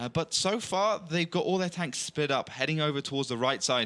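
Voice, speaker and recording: Talking at a fairly quick pace with lively intonation and a bright, sharp tone, a man with a West Country accent comes through on a very clean recording with a silent background. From England, Bristol. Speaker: esports commentator. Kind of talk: live commentary.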